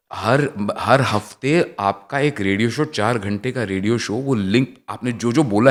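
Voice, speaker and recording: A man at a medium pitch with lively intonation, in a very clean recording with a silent background. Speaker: actor and former radio jockey. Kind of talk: casual interview chat. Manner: clear diction.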